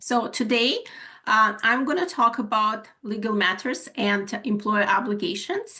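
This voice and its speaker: Bright and sharp in tone, a woman with a Ukrainian accent speaks at a fairly slow pace. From Ukraine. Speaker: HR manager and webinar presenter. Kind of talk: webinar presentation. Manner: halting, many fillers.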